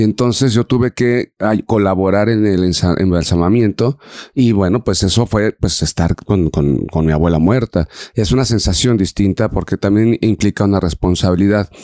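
A man's dark, mellow tone sits fairly low in pitch, moving at a moderate pace with very even loudness and a dry, close sound with no echo. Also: ordinary pitch variation. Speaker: podcast co-host. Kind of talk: reflective casual conversation.

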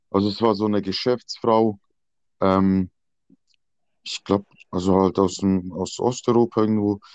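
Over a quiet background, a man with a fairly low voice talks at a fairly slow pace in a fairly even intonation, the sound dry and close with no echo. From Switzerland, near Basel. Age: 20s. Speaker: escort. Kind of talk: casual chat.

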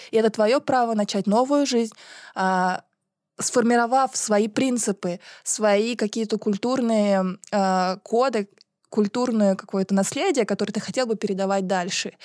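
A woman with an ordinary speaking voice talks at a moderate pace, with a fairly high pitch and fairly even intonation. The recording is very clean with a silent background, and the sound is dry and close with no echo. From Buryatia, Russia. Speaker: podcast co-host. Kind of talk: debate. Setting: studio.

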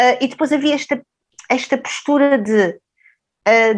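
The speaker has an unremarkable speaking voice and talks at a fairly slow pace with fairly even intonation. The background is quiet. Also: woman. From Mozambique (Maputo), then Portugal. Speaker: sociologist and professor. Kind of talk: interview conversation.

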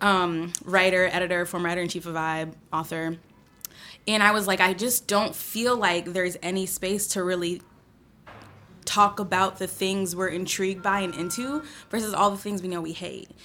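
Over music in the background, the speech moves at a moderate pace with fairly even intonation. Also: woman, medium pitch for a woman. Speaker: podcast host. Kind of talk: casual chat.

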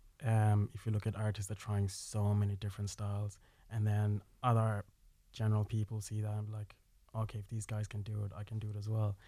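Somewhat breathy and dark, mellow in tone, a man with an Irish accent speaks at a fairly low pitch in a monotone, flat intonation. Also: fairly quick pace, very clean recording, silent background. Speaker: filmmaker. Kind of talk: radio interview. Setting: studio.

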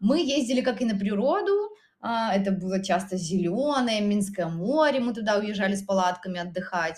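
Somewhat breathy, a woman with a medium pitch speaks at a moderate pace with lively intonation. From Belarus, Minsk region. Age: 30s. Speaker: photographer and artist. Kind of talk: casual chat. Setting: in an apartment. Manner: halting.

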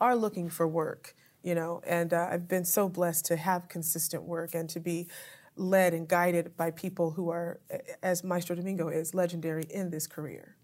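Over a silent background in a very clean recording, a woman with an American accent speaks at a fairly low pitch in a monotone, flat delivery. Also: moderate pace. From US, Southern California (Apple Valley). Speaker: opera singer. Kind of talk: interview. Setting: theater venue.

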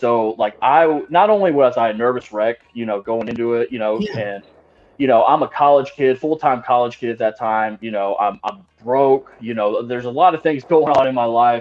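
A man talks at a fairly quick pace with hardly any pauses, in a normal speaking voice. His pitch is medium, with ordinary pitch variation. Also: big swings in loudness. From Texas, Austin area. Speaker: professional wrestler. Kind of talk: casual chat.

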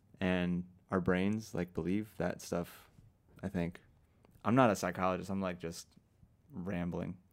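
A man's very deep, low voice, fairly slow and fairly even in intonation, with long, frequent pauses, on a very clean recording with a silent background. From Argentina. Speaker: podcast co-host and musician. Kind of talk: casual chat.

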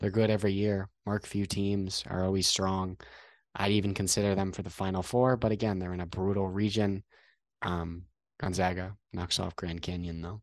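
Against a quiet background, a man speaks with an American accent. His pitch is very deep and low, his intonation monotone and flat. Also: moderate pace. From Connecticut. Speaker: sports podcast co-host, college student. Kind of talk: casual sports chat.

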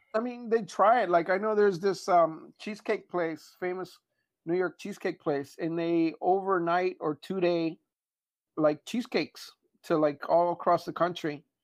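The man's voice sits high in pitch, with fairly even intonation and a moderate pace, recorded dry and close with no echo over a quiet background. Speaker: podcast co-host. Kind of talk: casual chat. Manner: speaks lying in bed.

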